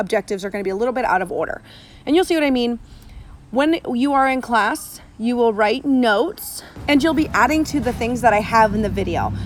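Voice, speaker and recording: Her intonation lively, a woman with a high voice talks at a fairly quick pace. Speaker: science teacher. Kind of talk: recorded classroom lecture. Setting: outdoors. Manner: fast.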